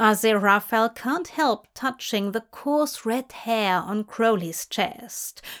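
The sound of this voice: Pitch moves in an ordinary way through an unforced reading voice.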